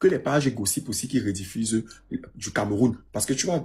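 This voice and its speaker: A man's animated tone, somewhat breathy. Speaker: live discussion moderator. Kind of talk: heated live group discussion.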